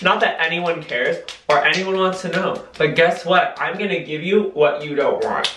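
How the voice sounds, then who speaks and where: With light background noise and audible room echo, a man talks at a moderate pace, his high pitch held in fairly even intonation. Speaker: YouTuber / vlogger. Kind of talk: casual vlog monologue. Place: bathroom. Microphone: camera far.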